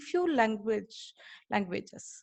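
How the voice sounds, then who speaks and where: Against a quiet background, a woman speaks at a moderate pace with a Tamil accent. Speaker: college lecturer and webinar speaker. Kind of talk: webinar talk. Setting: online webinar. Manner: halting, many fillers.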